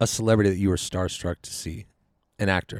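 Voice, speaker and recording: A man's dark, mellow tone in a dry, close sound with no echo. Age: 30s. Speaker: movie podcast co-host. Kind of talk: casual chat. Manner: animated.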